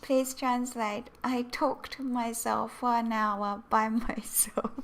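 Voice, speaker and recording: With a Japanese accent, a woman speaks at a very slow pace. Her fairly high voice holds a very even loudness. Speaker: Japanese language teacher. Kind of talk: live-stream language lesson. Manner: animated.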